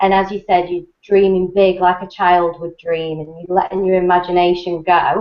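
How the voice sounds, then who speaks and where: With an English accent, a woman speaks in a fairly low pitch and monotone, flat intonation, with hardly any pauses. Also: moderate pace. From England. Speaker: network marketing presenter. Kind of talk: webinar talk. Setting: online video hangout.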